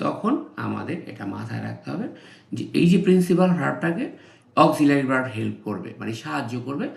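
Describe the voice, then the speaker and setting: A man's voice with big swings in loudness and audible room echo. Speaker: English tutor. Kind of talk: tutorial.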